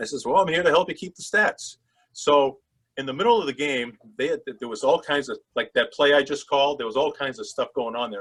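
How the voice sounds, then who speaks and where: A man with a Boston accent at a very fast pace. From Massachusetts, Boston area (Swampscott). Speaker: sports broadcaster. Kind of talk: interview storytelling. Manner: animated.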